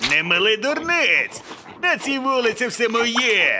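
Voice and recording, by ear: At a fairly slow pace, a cartoonish character voice with a bright, sharp tone makes big pitch swings over faint background noise. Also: man, extremely high pitch for a man.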